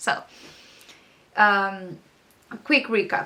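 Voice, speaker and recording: A woman speaks with a strong non-native accent. Her tone is bright and sharp, and her pitch sits fairly high. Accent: thick foreign accent in English. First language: not English. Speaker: artist and art mentor. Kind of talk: casual vlog talk to camera. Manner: rambling with many fillers.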